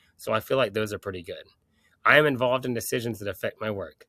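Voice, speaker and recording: Very fast and fairly even in intonation, a man speaks at medium pitch. The sound is dry and close with no echo, on a very clean recording with a silent background. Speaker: college student and shift supervisor. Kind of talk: class project presentation. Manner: casual, hesitant.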